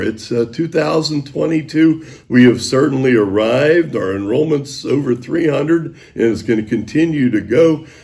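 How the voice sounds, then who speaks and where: A man talks at a medium pitch with lively intonation. His tone is dark and mellow, and somewhat breathy. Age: 70s. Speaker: high school sports broadcaster. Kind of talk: interview.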